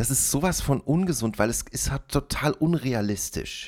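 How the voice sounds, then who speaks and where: Recorded very cleanly against a silent background, a man speaks in a plain, everyday voice at a medium pitch with lively intonation. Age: 40s. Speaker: solo podcaster. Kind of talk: casual monologue. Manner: rambling with many fillers.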